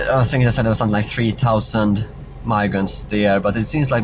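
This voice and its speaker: Over noticeable background noise, a man speaks at a fairly low pitch with a non-native accent. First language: not English. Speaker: political vlogger. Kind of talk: live stream Q&A. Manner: halting, many fillers.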